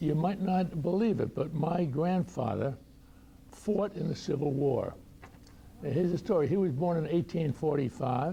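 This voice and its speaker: Someone with an American accent speaks at a moderate pace and very even loudness, with noticeable background noise. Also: man, fairly high pitch for a man, ordinary pitch variation. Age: 90s. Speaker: retired doctor and war veteran. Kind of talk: personal talk to audience. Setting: luncheon talk with audience.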